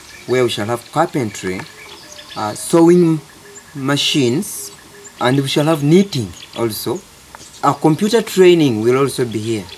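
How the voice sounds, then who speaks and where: A man's fairly high voice, fairly slow and lively in intonation, over noticeable background noise. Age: 50s. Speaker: NGO founder, former teacher. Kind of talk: documentary interview.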